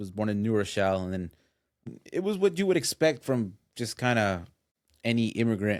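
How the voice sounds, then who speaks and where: A fairly low-pitched man with a Spanish accent, talking at a fairly quick pace with lively intonation and long, frequent pauses. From US Northeast, Westchester New York. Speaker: guest. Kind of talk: podcast interview. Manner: halting, many repetitions and fillers.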